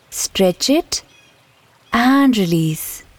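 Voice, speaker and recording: The voice has a soothing tone in a dry, close sound with no echo. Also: woman. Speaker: meditation teacher. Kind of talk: guided meditation, slow body-scan relaxation script over background music. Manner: slow, soothing and gently instructive; repetitive, calm cueing of each step.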